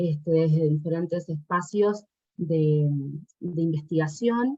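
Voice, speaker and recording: With an Argentine accent, a woman speaks very slowly in a fairly low, somewhat breathy voice with ordinary pitch variation. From Argentina. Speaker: doctoral researcher presenting at an academic symposium. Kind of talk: academic conference talk. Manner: hesitant, many fillers.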